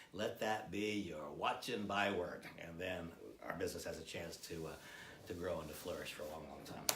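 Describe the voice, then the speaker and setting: Someone with an American accent speaks at a moderate pace with ordinary pitch variation, amid audible room echo and noticeable background noise. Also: man, very deep, low pitch for a man. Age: 60s. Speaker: product trainer. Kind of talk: product training presentation.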